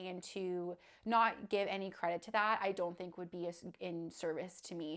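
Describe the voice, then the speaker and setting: A woman speaks with a Canadian accent at a moderate pace and medium pitch. Hers is a plain, everyday voice with ordinary pitch variation. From Canada, southwestern Ontario. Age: 20s. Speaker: vlogger sharing illness story. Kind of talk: personal testimony vlog.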